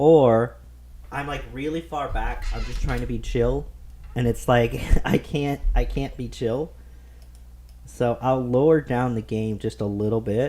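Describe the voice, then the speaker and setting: A man talks fairly slowly, leaving long, frequent pauses. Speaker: gaming streamer. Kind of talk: casual gameplay commentary. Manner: casual, filler-heavy.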